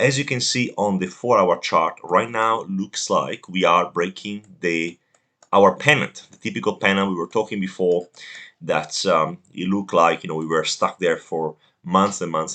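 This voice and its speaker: A man's bright, sharp tone with very wide pitch swings, at a moderate pace. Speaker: crypto trading youtuber. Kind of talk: market analysis video. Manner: hesitant with fillers.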